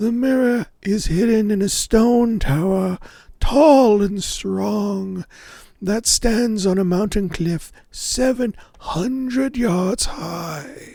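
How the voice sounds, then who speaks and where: In a put-on character voice, a man speaks very slowly with a high pitch. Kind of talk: fairy-tale storytelling. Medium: read story. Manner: formal, archaic, measured.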